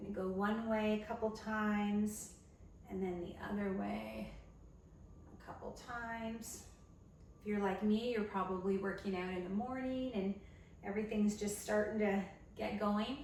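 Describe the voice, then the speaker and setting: A woman's flat, monotone delivery at a fairly slow pace, with long, frequent pauses and noticeable background noise. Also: medium pitch for a woman. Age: 50s. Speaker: personal trainer. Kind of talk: fitness instruction, following along workout. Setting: at home workout video. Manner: encouraging, instructional, conversational.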